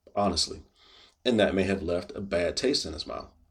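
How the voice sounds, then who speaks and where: Against a quiet background, a man with a fairly low pitch and a plain, everyday voice speaks with fairly even intonation. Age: 40s. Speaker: video blogger. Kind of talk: personal monologue to camera. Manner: casual.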